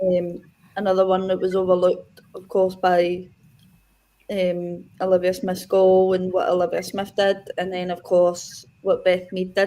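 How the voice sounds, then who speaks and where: A woman with a Scottish accent, medium pitch and a dark, mellow tone, in monotone, flat intonation at a fairly slow pace. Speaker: football podcast panelist. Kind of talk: casual chat.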